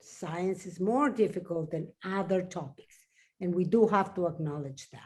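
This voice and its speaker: A woman with a Spanish accent speaks at a fairly slow pace in a medium pitch, her voice somewhat breathy, on a very clean recording with a silent background. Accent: Spanish accent, noticeable. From Mexico. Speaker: science journalist. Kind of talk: panel discussion. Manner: slow, halting.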